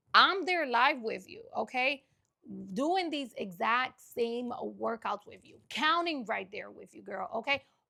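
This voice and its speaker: Raised and projected, a woman's high-pitched voice moves at a fairly slow pace with lively intonation, an animated, bright, sharp tone and big swings in loudness. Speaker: online fitness coach. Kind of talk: tutorial with sales pitch.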